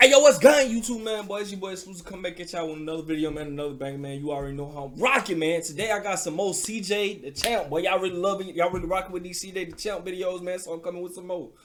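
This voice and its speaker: Over noticeable background noise, a man talks at a very fast pace with hardly any pauses. His high pitch shows ordinary pitch variation, and his loudness takes big swings. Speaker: reaction youtuber. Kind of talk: casual chat. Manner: stuttering.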